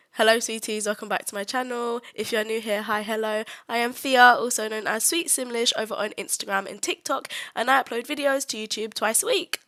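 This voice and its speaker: The woman's voice has a bright, sharp tone and ordinary pitch variation. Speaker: gaming YouTuber. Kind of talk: casual voiceover commentary. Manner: casual, hesitant with fillers.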